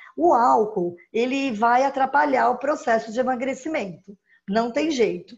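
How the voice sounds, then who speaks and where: This woman's voice is high in pitch. She talks at a fairly slow pace. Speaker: nutritionist giving diet tips. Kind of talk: live-stream talk with viewer Q&A.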